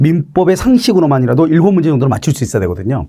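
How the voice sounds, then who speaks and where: At a very fast pace, a man speaks in a dark, mellow tone that is somewhat breathy, in a very clean recording with a silent background. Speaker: law lecturer. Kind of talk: lecture. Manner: filler-heavy.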